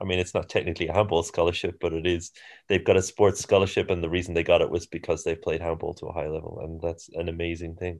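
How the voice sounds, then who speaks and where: In an Irish accent, a man speaks very fast with a very deep, low pitch and monotone, flat intonation against a quiet background. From Ireland. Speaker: handball coach. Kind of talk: casual chat.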